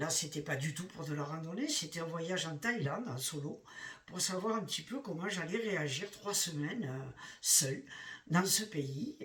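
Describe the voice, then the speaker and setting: A man with a high voice speaks with lively intonation over noticeable background noise. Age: 60s. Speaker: retiree hiking vlogger. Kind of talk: casual vlog monologue. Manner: halting, many hesitations.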